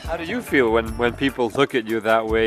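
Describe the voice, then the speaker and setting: With music in the background, the man speaks fairly quickly. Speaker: radio reporter. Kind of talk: interview question.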